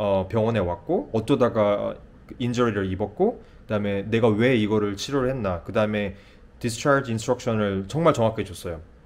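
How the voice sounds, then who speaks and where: At a fairly quick pace, a man uses a normal speaking voice with a fairly low pitch and ordinary pitch variation. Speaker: nurse practitioner. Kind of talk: casual vlog storytelling.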